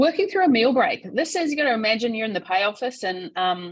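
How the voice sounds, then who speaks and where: In an Australian accent, a somewhat breathy woman with a fairly high pitch speaks with very wide pitch swings. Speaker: payroll association CEO and webinar presenter. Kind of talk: webinar presentation. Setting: online webinar. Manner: fast.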